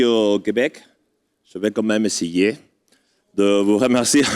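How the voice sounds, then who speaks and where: Here a man with a non-native accent speaks at a fairly low pitch. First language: not French (speaking French). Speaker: adventure racing association representative. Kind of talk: ceremony speech. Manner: halting.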